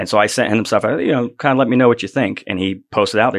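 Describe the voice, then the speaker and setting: Against a quiet background, a man in an American accent talks very fast with ordinary pitch variation. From Florida (Sebring). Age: 40s. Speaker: metal band vocalist. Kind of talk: casual interview chat.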